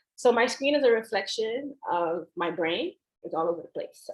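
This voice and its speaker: A woman's fairly high-pitched voice. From Haitian family. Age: 30s. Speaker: speaker from a farm organization. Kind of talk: lecture. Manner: fast.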